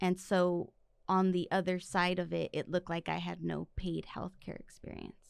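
A woman with an American accent talks at a moderate pace. The sound is dry with no echo, over a quiet background. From East Los Angeles, California; California. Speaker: physician assistant; podcast guest. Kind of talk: casual chat. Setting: studio. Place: studio. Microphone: studio mic.

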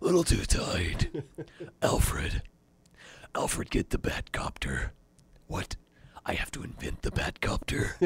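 A man puts on a raspy character voice with big swings in loudness. He goes at a fairly slow pace, leaving long, frequent pauses. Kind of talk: comic impression. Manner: mock-serious, overdone.

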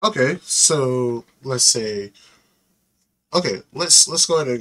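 Very wide pitch swings in a male voice. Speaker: video reactor. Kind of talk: reaction video, casual chat. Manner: casual, informal, slangy. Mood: reflective about car accident. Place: home room. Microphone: headset.

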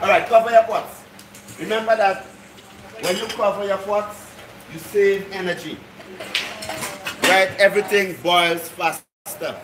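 A man with a high voice speaks at a fairly slow pace, leaving long, frequent pauses, his intonation fairly even over noticeable background noise. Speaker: cooking class instructor. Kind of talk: instruction to a group. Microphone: phone near.

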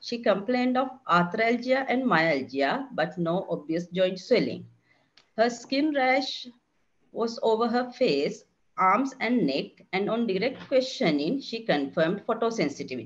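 Speaking at a fairly slow pace, a woman with a fairly high pitch swings her pitch very widely and has vocal fry. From Sri Lanka. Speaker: consultant general physician; presenter. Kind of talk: clinical case presentation. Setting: online webinar. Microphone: webcam.

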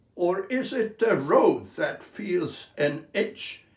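A man speaks at a very slow pace, with audible room echo around him. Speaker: poet. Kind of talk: poetry reading. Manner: slow, measured, contemplative delivery. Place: home room. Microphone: phone near.

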